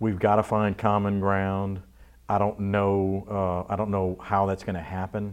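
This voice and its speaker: A man's fairly low voice moves along at a fairly slow pace. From Louisiana (Abbeville, Cajun country). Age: 50s. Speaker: TV station general manager. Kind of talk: interview. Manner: halting, repeats words.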